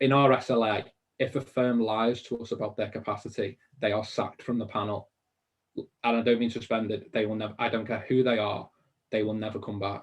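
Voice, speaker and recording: The man speaks at a fairly quick pace. He has a Liverpool accent. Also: medium pitch for a man. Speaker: mortgage industry business founder. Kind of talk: webinar interview. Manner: animated.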